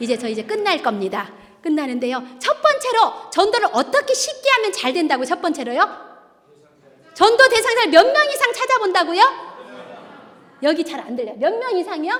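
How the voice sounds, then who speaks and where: At a moderate pace, a woman speaks in an animated tone. Her pitch swings very widely. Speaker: church deaconess giving testimony. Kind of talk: testimony. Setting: church.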